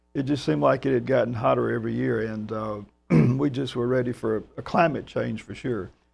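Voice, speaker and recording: With a Georgia accent, a man speaks at a medium pitch and a fairly quick pace, his pitch swinging very widely. Music plays in the background. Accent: Georgia Southern. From US South, Georgia. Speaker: orchestra music director. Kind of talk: interview.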